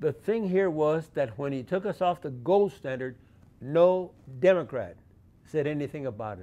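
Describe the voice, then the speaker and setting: The man's tone is dark and mellow. He speaks fairly slowly. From Arizona–Mexico border (Douglas/Agua Prieta). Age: 80s+. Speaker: community organizer, military veteran. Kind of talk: persuasive personal monologue. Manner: halting, many fillers.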